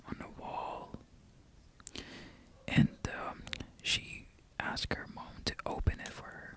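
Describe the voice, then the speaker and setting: Whispering at a very slow pace with long, frequent pauses, a man's volume swings widely in loudness over noticeable background noise. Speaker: ASMR creator. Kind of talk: ASMR show and tell talk. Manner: soft-spoken.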